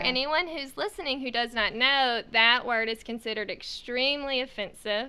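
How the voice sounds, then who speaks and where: A woman's high-pitched voice at a moderate pace, with ordinary pitch variation and hardly any pauses. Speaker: podcast co-host. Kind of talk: podcast conversation.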